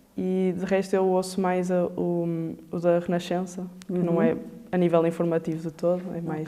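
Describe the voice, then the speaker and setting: A woman with a fairly low pitch speaks at a moderate pace in a monotone, flat intonation, with noticeable background noise. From Porto, Portugal. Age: 20s. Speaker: veterinary assistant student. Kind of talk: interview answer.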